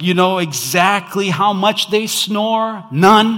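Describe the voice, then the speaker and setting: The tone is bright and sharp. A man delivers his words at a very slow pace. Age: 30s. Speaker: pastor. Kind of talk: Christmas sermon to a church congregation, conversational and call-and-response. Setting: church with live audience.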